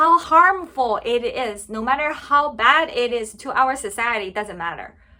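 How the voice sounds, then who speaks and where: A woman with a Chinese accent speaks in a raised, projected voice. Her tone is bright and sharp, her pitch high and her intonation lively. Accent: Mandarin Chinese accent in English. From China. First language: Mandarin Chinese. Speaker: political commentary vlogger. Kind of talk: opinion vlog monologue.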